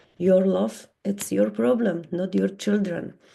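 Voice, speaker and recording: A woman with a Polish accent speaks at a very slow pace in a medium pitch, her tone dark and mellow and her intonation lively. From Poland. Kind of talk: conference talk. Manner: halting.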